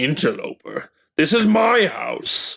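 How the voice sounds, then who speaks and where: In a put-on character voice, a man speaks at a fairly slow pace with a raspy, extremely high pitch. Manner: imperious, menacing.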